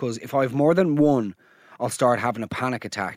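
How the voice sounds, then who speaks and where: A man speaks with an Irish accent on a very clean recording with a silent background. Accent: Irish brogue. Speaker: podcast host. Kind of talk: comedic monologue and listener voice note reactions. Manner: animated.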